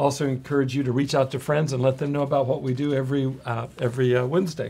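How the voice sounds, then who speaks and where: A somewhat breathy male voice, fairly high in pitch. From US West Coast (central California). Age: 60s. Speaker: addiction specialist, live show host. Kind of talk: live webcast talk. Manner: hesitant, many fillers.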